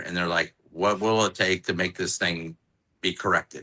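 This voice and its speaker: A man with an American accent, a bright, sharp tone and a fairly quick pace. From Orlando, Florida. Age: 60s. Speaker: cigar maker. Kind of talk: casual chat.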